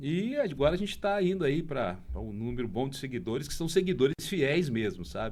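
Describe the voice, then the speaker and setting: A man speaks at a moderate pace with hardly any pauses and vocal fry. His fairly high pitch swings very widely, and audible room echo surrounds the sound. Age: 60s. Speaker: bar-hunting TV and social media presenter. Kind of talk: podcast interview. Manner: animated.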